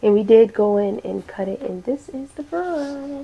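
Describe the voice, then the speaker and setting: A woman's voice amid noticeable background noise. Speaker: hair tutorial creator. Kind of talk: tutorial.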